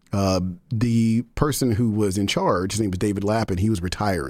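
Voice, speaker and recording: In an American accent, a man speaks at a fairly low pitch with ordinary pitch variation. He has an unremarkable speaking voice. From Texas (Denton and Dallas). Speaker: music nonprofit executive director. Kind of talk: interview.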